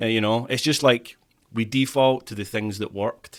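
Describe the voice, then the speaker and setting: A man with a Glaswegian accent talks at a moderate pace, his medium pitch showing ordinary pitch variation. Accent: Glaswegian Scottish. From Scotland (Clydebank, Glasgow). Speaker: therapist. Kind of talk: podcast interview.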